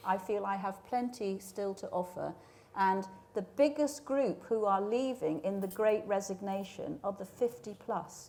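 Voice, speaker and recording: A woman speaks with an English accent at a fairly slow pace. Her tone is dark and mellow, her pitch medium with ordinary variation. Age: 60s. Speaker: media industry leader. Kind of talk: panel discussion.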